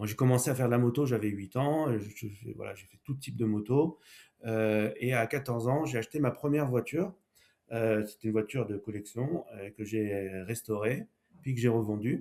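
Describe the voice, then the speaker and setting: A man speaks at a moderate pace in a dark, mellow tone with a medium pitch. His loudness swings widely, while his pitch varies in an ordinary way. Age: 60s. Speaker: entrepreneur, former car dealer. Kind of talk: podcast interview.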